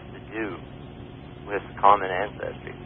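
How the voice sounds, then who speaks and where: A man's voice against noticeable background noise. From Canada. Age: young. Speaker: evolution graduate student. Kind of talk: radio call-in debate. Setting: phone line.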